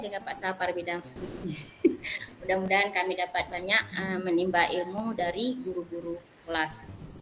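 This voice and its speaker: With a Malay accent, a woman talks at a moderate pace. Her medium-pitched voice has fairly even intonation. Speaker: Islamic religion teacher. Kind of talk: self-introduction in online class.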